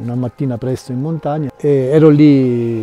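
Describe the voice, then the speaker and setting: A man talks in a dry sound with no echo. Faint music plays in the background. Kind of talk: interview answer, storytelling. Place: open country.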